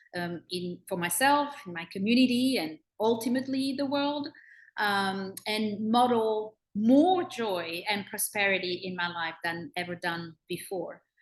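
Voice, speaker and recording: Speaking at a fairly slow pace, a woman with a French accent has a medium pitch and lively intonation. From France (Bordeaux). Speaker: personal growth consultant. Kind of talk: self-introduction in group video call. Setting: video call. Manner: halting, many fillers.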